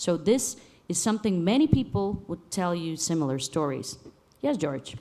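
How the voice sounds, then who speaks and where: With a dark, mellow tone, a woman speaks at a moderate pace and a fairly low pitch, swinging very widely in pitch. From Bulgaria. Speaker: panel moderator and musician. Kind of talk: panel discussion.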